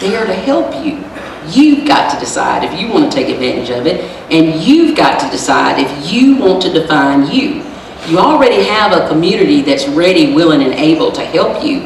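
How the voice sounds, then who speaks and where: Over noticeable background noise and audible room echo, a woman speaks at a moderate pace and medium pitch. Her tone is animated, with very wide pitch swings. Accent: American. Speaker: lawyer and motivational speaker. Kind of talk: motivational speech.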